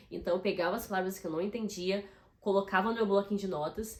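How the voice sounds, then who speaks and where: The woman here has a medium pitch. Her tone is animated. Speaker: YouTuber. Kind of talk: casual vlog tips.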